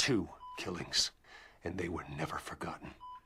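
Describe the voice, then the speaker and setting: Over sound effects in the background, a man performs a put-on character voice with a very deep, low pitch at a moderate pace. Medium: video game. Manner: cold, restrained.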